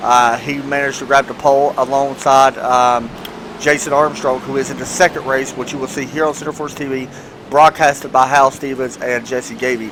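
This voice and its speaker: Noticeable background noise sits behind a man at medium pitch. He speaks at a fairly quick pace with a monotone, flat intonation. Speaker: sim racing commentator. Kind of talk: live commentary.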